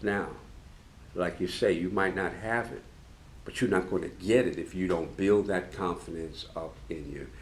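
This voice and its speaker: Fairly even intonation and a moderate pace come through along with audible room echo. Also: man, very deep, low pitch for a man. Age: 70s. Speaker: master tailor and sewing show co-host. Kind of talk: casual chat.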